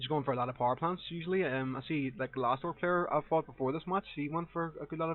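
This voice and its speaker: A man with a strong Northern Irish accent, fairly high-pitched, very fast with hardly any pauses, and with ordinary pitch variation. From Northern Ireland. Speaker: gaming commentator. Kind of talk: live gameplay commentary. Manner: casual, hesitant with fillers.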